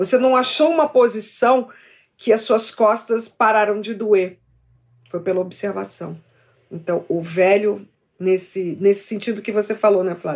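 With long, frequent pauses, a woman of medium pitch speaks at a fairly slow pace. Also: ordinary pitch variation. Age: 60s. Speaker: TV presenter and YouTuber. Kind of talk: casual chat. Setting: video call.

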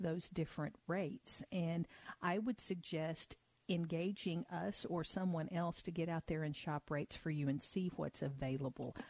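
This woman has an ordinary speaking voice, fairly low in pitch, with ordinary pitch variation at a moderate pace. The sound is dry and close with no echo, over a quiet background. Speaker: financial advisor. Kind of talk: radio call-in advice show. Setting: studio.

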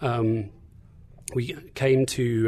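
A man's medium-pitched, somewhat breathy voice, dark and mellow in tone, with ordinary pitch variation. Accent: English. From England. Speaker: guest speaker on faith. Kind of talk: sermon-like teaching talk. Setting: studio.

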